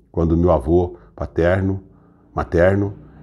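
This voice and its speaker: A man speaks at a very deep, low pitch with a dark, mellow tone. The recording is very clean, with a silent background. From Brazil, Franca (São Paulo state). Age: 60s. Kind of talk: personal testimony. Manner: halting, with self-corrections.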